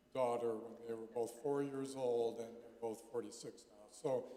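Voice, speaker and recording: Moderate-paced speech from a man, amid audible room echo and noticeable background noise. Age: 70s. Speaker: pastor. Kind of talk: conference talk. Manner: halting.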